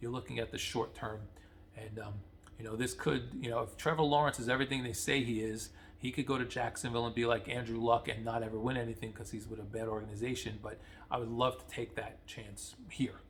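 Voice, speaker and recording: Talking very fast, a man with a somewhat breathy, medium-pitched voice keeps his intonation fairly even. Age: 50s. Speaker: sports fan vlogger. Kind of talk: casual commentary monologue. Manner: halting, many fillers and repeats.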